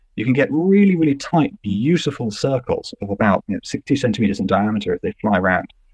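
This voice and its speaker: With lively intonation, a man talks at a medium pitch in a normal speaking voice. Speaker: scientist. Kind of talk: interview explaining research. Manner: conversational, fluent.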